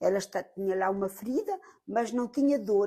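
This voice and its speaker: This woman has a dark, mellow tone and ordinary pitch variation. She speaks at a moderate pace. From Portugal. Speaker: medium and charity volunteer. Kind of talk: interview testimony. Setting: on location in France. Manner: halting.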